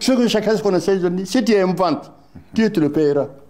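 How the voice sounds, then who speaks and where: The speaker is a man. His tone is dark and mellow. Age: 80s+. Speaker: former party official, political veteran. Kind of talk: interview. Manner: halting, with repetitions.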